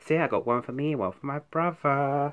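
A man with a British accent at a fairly quick pace. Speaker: YouTuber. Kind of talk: haul video. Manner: fast; halting. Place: home room. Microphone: phone near.

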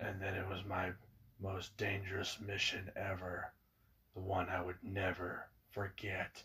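In a raspy, put-on character voice, a man speaks with a very deep, low pitch. His delivery is fairly slow, with a monotone, flat intonation. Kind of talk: dramatic fan-film narration. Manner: reflective, solemn.

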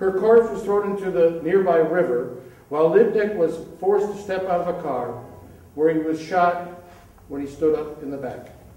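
Amid audible room echo, a man speaks at a moderate pace in a high voice with ordinary pitch variation and big swings in loudness. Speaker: poetry reader. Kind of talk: reading aloud a poem with commentary. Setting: stage with audience. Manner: hesitant, with fillers when introducing. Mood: grave, somber. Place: hall.

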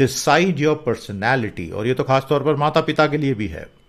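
The intonation is lively and the pace fairly slow. The background is quiet. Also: man. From India. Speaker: English teacher. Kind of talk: lecture.

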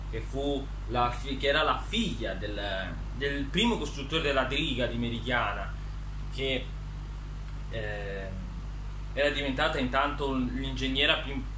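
This man talks fairly slowly, with long, frequent pauses. Noticeable background noise runs underneath. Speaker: author presenting his book characters. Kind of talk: casual talk to camera, storytelling about his book characters. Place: home room. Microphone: phone near.

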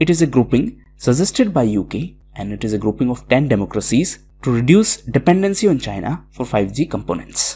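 This man talks fairly quickly at a medium pitch, his dark, mellow tone swinging very widely in pitch and dipping into vocal fry. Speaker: educational video presenter. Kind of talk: lecture.

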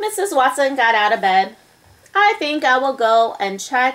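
Natural reading voice

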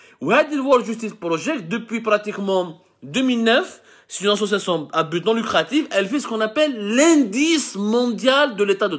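Against a quiet background, a man speaks at a high pitch. His intonation is lively. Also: moderate pace. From Algeria, Mitidja; Algeria. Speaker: journalist and online commentator; online news commentator. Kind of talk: live video commentary. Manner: hesitant, with frequent self-corrections. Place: home room. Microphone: phone near.

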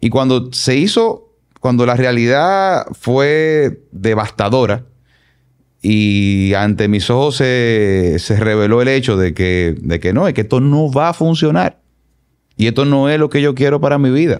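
A man speaks fairly slowly. Behind him, the background stays quiet. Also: lively intonation, very even loudness. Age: 40s. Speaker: consultant and politician; podcast guest. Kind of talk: personal testimony interview. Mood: reflective, earnest. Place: studio. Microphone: studio mic.

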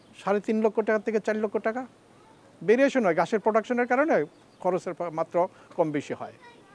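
The sound is dry with no echo as a man with a high pitch speaks with ordinary pitch variation. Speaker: retired civil servant and dairy farmer. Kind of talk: interview testimony. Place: farm machine. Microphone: lapel.

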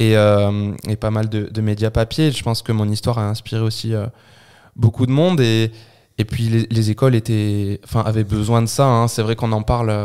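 A man talks at a moderate pace in a medium pitch, with a dark, mellow tone. His intonation stays fairly even. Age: 20s. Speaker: triathlete and anti-bullying speaker. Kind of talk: interview testimony.

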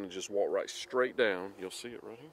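A man at a moderate pace, with a fairly bright tone

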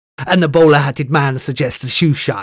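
In a put-on character voice, a man talks at a fairly high pitch and a moderate pace. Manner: slow, unnerving.

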